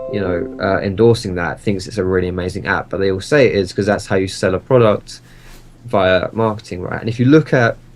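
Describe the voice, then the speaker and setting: The speaker has an Essex accent and a fairly quick pace, with ordinary pitch variation. There is noticeable background noise. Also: man, fairly low pitch for a man. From Essex, England. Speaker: gaming YouTuber and streamer. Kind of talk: interview. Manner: animated.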